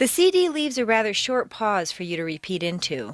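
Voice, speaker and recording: At a moderate pace, a woman speaks with a General American accent. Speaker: accent coach. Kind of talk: audio course narration. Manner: conversational.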